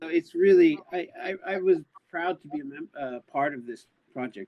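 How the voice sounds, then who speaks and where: In an American accent, a man with an ordinary speaking voice talks at a fairly slow pace with ordinary pitch variation. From US, Los Angeles. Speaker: announcer voice actor. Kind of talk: casual chat. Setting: live stream.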